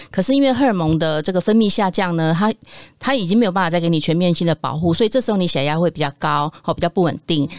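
Talking at a very fast pace, a woman with a fairly low voice uses lively intonation. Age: 40s. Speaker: nutrition product developer, former nurse. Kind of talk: casual chat.

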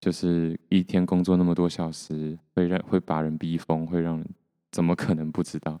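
Dry and close with no echo, a man's very deep, low voice has a dark, mellow tone and monotone, flat intonation at a moderate pace. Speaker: solo podcaster. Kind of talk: casual solo monologue. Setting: home recording with mixer, solo. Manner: soft, not loud.

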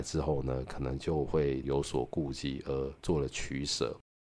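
A man speaks with a Taiwanese accent. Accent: Taiwanese Mandarin. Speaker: podcast host reviewing books. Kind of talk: book review monologue. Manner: casual, with many filler particles.

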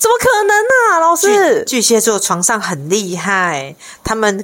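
Her tone is animated as a woman talks with lively intonation. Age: 50s. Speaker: podcast co-host, sex and relationship talk. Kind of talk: casual chat. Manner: animated, frequent laughter.

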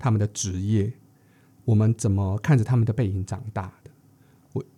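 A man with a dark, mellow tone and medium pitch sounds somewhat breathy as he speaks at a moderate pace. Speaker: podcast co-host. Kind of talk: casual chat.

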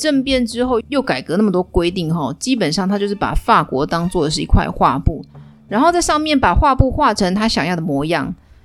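A woman's animated voice at a fairly quick pace, full of very wide pitch swings. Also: medium pitch for a woman. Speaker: history storytelling podcaster. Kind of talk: storytelling monologue.

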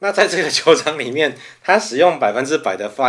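At a fairly quick pace, a man speaks in a normal speaking voice with lively intonation. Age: 40s. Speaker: podcast co-host, whisky enthusiast. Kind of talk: casual chat.

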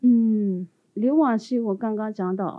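A woman speaks with a Tibetan accent. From Tibetan exile community in India. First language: Tibetan (speaking Chinese). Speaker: postdoctoral researcher. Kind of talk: interview. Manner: halting.

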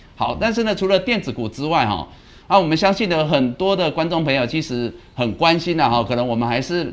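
A man talks at a fairly quick pace and a fairly high pitch, with vocal fry. His pitch swings very widely. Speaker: stock market show host, analyst. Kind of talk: live market commentary.

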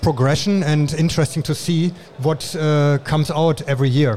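A man with a German accent speaks at a fairly slow pace, his fairly high pitch held in a fairly even intonation. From Germany. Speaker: industrial designer and awards judge. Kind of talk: interview. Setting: trade show.

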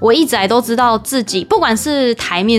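Noticeable background noise sits behind this woman's voice. She talks at a fairly quick pace with a fairly high pitch. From Taiwan. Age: 20s. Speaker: former radio host. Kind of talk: casual chat. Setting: home bedroom.

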